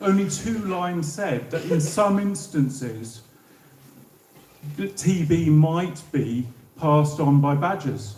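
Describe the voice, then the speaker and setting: In a southern English accent, a man speaks very slowly at a fairly high pitch with lively intonation and long, frequent pauses. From southern England. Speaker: former civil servant. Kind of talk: public talk.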